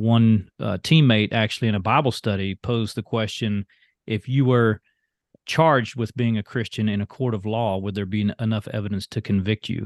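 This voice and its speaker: A man speaks at a moderate pace with a fairly low pitch and fairly even intonation. The sound is dry and close with no echo, over a quiet background. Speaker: former baseball pitcher. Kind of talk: casual interview.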